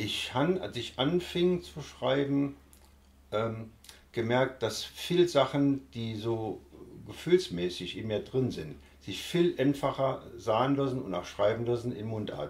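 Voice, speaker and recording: Speaking at a very slow pace, a man with a somewhat breathy voice uses lively intonation and big swings in loudness. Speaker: dialect author. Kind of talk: interview answer. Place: home room.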